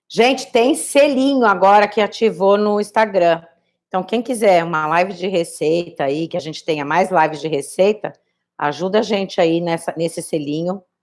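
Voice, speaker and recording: At a moderate pace, a woman talks in an ordinary speaking voice at medium pitch. Her intonation is lively. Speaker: cooking instructor. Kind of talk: live cooking tutorial. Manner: casual, chatty.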